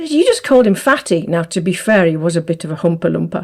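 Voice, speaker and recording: A woman talks at a fairly quick pace, her voice somewhat breathy. Her pitch swings very widely. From northern England, Manchester. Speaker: podcast host, business owner. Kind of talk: casual chat. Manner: fast, tempered by conscious enunciation.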